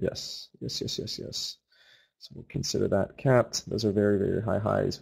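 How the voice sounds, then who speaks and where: The speech is quiet and moves at a moderate pace. It is a very clean recording with a silent background. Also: man. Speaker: forex trading room host. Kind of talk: live trading commentary. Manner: talking a little quiet; animated.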